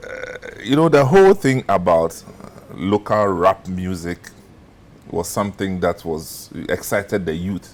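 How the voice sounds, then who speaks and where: Against noticeable background noise, the speaker talks at a fairly slow pace with lively intonation. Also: man, fairly low pitch for a man. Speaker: TV talk show host. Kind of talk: interview.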